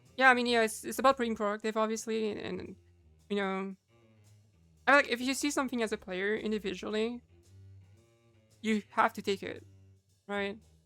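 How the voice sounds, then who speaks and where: A woman at a moderate pace with fairly even intonation and long, frequent pauses, music in the background. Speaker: Overwatch coach. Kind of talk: gameplay vod review commentary. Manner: casual.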